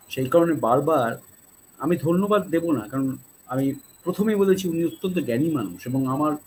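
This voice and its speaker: Over light background noise, a man speaks in a fairly high pitch with lively intonation. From Bengal. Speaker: YouTube channel host. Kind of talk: show intro and outro. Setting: live stream. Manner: formal, polite. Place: home room.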